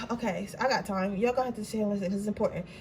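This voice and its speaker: A woman's voice with noticeable background noise. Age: 20s. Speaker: tarot card reader. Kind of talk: tarot reading. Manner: stutter; casual, animated.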